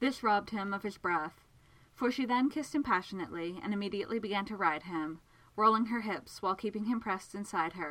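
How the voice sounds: The pitch moves in an ordinary way. The voice is a natural reading voice.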